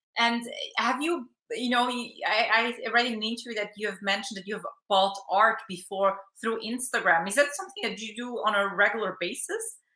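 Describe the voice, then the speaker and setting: A woman speaks at a fairly quick pace in an unremarkable speaking voice. Her pitch is fairly high with ordinary variation, and her loudness swings a lot. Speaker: TV financial news interviewer. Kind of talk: interview questions.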